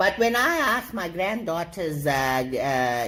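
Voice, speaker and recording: Noticeable background noise is present in the clip. Over it, a woman talks with lively intonation. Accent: South African. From South Africa, Durban. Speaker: comedic character guest. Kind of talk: comedic monologue. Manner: animated.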